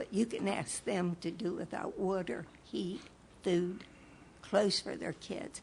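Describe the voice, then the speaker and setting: The delivery is somewhat breathy, at a fairly slow pace with ordinary pitch variation. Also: woman. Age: 70s. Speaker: public commenter at city meeting. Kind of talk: public comment at council meeting. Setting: city commission meeting at podium. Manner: animated.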